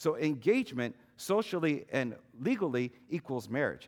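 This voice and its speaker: A man with a fairly high pitch and vocal fry speaks at a moderate pace in an animated tone, with very wide pitch swings. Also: very clean recording, silent background. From Chinese heritage. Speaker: pastor. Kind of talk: sermon. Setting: church.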